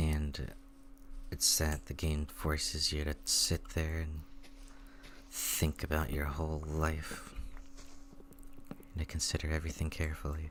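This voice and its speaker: The voice is quiet and calm in tone, moving at a fairly slow pace with long, frequent pauses. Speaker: gaming streamer. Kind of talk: casual gameplay commentary.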